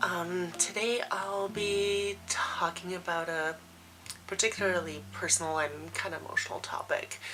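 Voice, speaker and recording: Through noticeable background noise, a woman talks at a fairly slow pace with fairly even intonation. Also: medium pitch for a woman. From Poland. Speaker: former stripper, vlogger. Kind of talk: personal vlog monologue.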